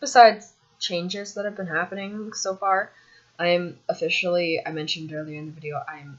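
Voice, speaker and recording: This woman talks at a moderate pace with ordinary pitch variation and a fairly low pitch. Noticeable background noise sits behind her. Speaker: vlogger sharing transition updates. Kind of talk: casual vlog monologue. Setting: filming on laptop at home. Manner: hesitant, many ums. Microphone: laptop camera mic.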